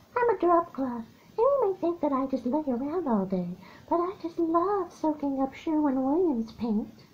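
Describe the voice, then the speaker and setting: The voice is a put-on character voice with a high pitch. It moves at a moderate pace. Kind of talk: commercial read. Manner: silly, playful.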